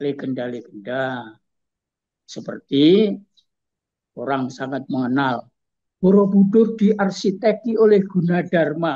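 In a quiet setting, a man with a high-pitched, dark, mellow voice speaks at a very slow pace, using very wide pitch swings and long, frequent pauses. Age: 70s. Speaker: culture expert and writer; guest. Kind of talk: interview. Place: home room. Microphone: video call.

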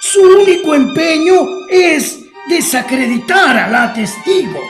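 A man puts on a character voice at an extremely high pitch, with big pitch swings and a fairly bright tone. He speaks at a fairly slow pace while faint music plays in the background.

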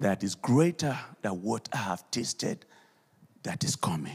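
This man talks at a very slow pace with vocal fry. His pitch swings very widely. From Nigeria. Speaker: pastor. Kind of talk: sermon. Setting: church. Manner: animated. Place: church. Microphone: handheld.

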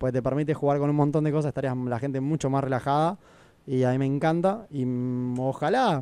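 Speaking at a very fast pace, a man uses a fairly high pitch with a dark, mellow tone and ordinary pitch variation, the sound dry with no echo. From Argentina, Necochea; Argentina. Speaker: airline pilot; radio guest. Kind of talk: casual chat. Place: studio. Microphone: studio mic.

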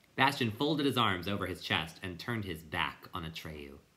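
The reading voice is natural.

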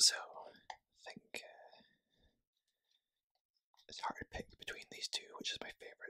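Someone whispers at a moderate pace. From Scotland. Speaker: ASMR creator. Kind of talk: ASMR card unboxing talk. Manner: whispered. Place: home room. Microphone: phone near.

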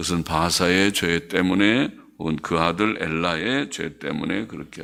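A man speaks very slowly in a very deep, low voice with vocal fry. His tone is bright and sharp. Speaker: pastor. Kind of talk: sermon.

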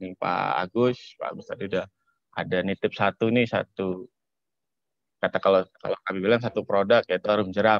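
Over a quiet background, a man speaks at a fairly quick pace in a fairly low pitch, with fairly even intonation but big swings in loudness. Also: dry sound with no echo. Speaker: public relations volunteer; webinar presenter. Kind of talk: presentation. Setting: video call. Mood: friendly, relaxed. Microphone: video call.

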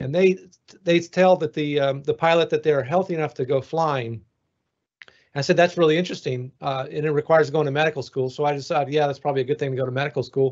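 Over a quiet background, a man with a fairly high pitch speaks at a very fast pace and with fairly even intonation. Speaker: NASA flight surgeon; guest. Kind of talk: panel discussion. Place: home room. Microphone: video call.

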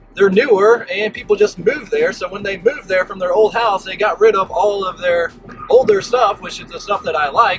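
A man's voice with fairly even intonation over background music. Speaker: yard sale reseller vlogger. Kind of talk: casual vlog chat. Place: car. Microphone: phone near.

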